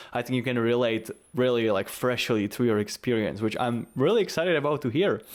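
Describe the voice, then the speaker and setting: This speaker talks at a very fast pace with a Czech accent. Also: man. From Czech Republic. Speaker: podcast co-host, music performer. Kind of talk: casual chat.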